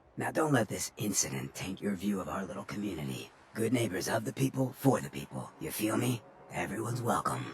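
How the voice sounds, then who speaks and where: Using a put-on character voice, a man with a fairly low pitch talks at a fairly quick pace with very wide pitch swings. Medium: video game. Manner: smooth, streetwise.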